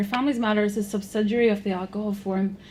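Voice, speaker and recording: Speaking at a very fast pace in a Northern Irish accent, a woman keeps a monotone, flat intonation at a medium pitch, with audible room echo around her. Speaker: programme manager, conference speaker. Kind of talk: conference presentation.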